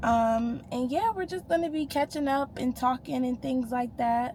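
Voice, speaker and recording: A woman speaks loudly in a high voice with an American accent. Her pace is fairly slow. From US Northeast, Rochester, New York. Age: 20s. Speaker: lifestyle vlogger. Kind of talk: casual Q&A vlog.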